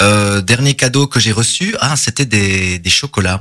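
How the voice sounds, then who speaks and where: A man's fairly low voice, bright and sharp in tone, with ordinary pitch variation. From Belgium, Charleroi area. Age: 30s. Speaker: drama teacher and actor. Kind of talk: interview. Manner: hesitant with many fillers.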